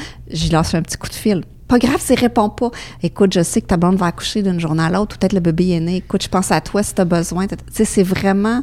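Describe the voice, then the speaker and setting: A woman at medium pitch with ordinary pitch variation, a very fast pace and big swings in loudness. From Quebec, Beauce (Saint-Georges). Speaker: foundation fundraiser at a school. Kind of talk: interview.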